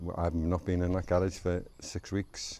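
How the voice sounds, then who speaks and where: Fairly slow delivery in a dark, mellow tone, on a very clean recording with a silent background. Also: man. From Liverpool, England. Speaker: vlogger. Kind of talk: casual vlog monologue. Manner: chatty, informal.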